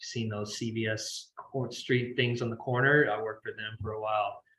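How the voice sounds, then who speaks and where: A man of medium pitch with an ordinary speaking voice, at a moderate pace. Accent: American. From US South, Kentucky small town. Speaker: professor. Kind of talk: online class kick-off meeting. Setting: video call. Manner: casual, filler-heavy.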